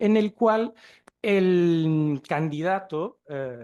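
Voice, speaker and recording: With lively intonation, a man speaks in a Chilean accent at a high pitch. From Portugal. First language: Portuguese (speaking Spanish). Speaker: museum researcher and archaeologist. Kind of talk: conference talk.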